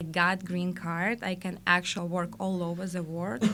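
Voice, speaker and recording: The speaker, with a Russian accent, talks at a moderate pace. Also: woman. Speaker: life coach. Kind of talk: interview. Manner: halting.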